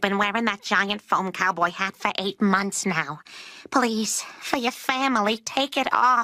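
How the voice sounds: A female-sounding voice performs a cartoonish character at a medium pitch. The pace is fairly slow.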